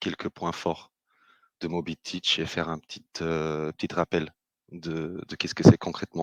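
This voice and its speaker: Very deep and low, a man's voice comes at a fairly slow pace with monotone, flat intonation and big swings in loudness. The background is quiet, and the sound is dry and close with no echo. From Britain. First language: English (speaking French). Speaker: business developer, webinar host. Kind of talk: webinar presentation. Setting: online webinar. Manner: hesitant, many filler sounds.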